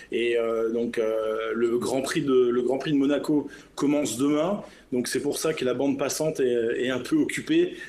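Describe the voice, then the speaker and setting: There is audible room echo as a man speaks at a moderate pace in a fairly high pitch. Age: 50s. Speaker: business jet captain. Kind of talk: interview.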